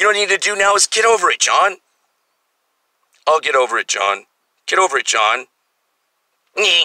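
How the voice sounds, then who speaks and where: A man projects a raised, high-pitched voice with a bright, sharp tone and lively intonation. He leaves long, frequent pauses, and the sound is dry and close with no echo. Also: fairly quick pace. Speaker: video blogger. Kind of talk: rant. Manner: animated.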